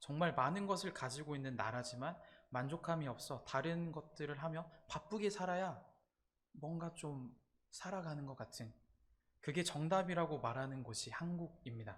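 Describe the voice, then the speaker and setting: His pitch fairly high and its variation ordinary, the man keeps a moderate tempo. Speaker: campus ministry preacher. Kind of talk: sermon. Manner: halting, frequent 'uh' fillers.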